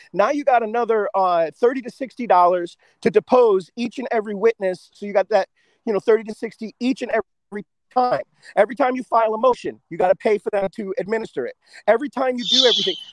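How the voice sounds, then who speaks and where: In a dry, close recording with no echo, a man talks very fast at a high pitch, with ordinary pitch variation and big swings in loudness. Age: 40s. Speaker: activist panelist. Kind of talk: casual panel discussion.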